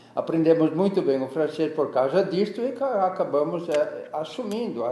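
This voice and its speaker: There is noticeable background noise behind this man's voice. He speaks in a fairly high pitch with ordinary pitch variation. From Rio Grande do Sul, Brazil. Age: 80s+. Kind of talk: interview answer.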